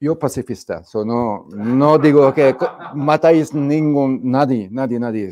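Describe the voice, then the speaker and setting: A man's dark, mellow tone, fairly slow pace, and ordinary pitch variation over light background noise. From Hungary. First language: Hungarian (speaking Spanish). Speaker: economics speaker; speaker. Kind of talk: lecture. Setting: stage with audience. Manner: halting. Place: studio. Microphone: lapel.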